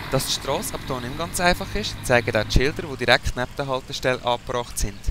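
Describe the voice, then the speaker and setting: At a very fast pace, a man talks through noticeable background noise. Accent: Swiss. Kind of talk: documentary voice-over narration.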